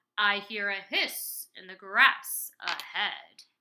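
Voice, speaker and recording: In a put-on character voice, the speaker goes at a very slow pace with a monotone, flat intonation. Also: female-sounding voice, medium pitch for a woman. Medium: read story.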